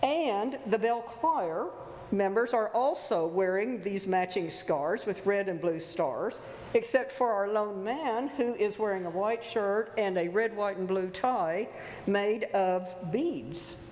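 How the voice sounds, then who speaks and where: With audible room echo and noticeable background noise, a woman at a medium pitch speaks very slowly with lively intonation. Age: 70s. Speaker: lay worship leader. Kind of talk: church service welcome and announcements. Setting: church sanctuary.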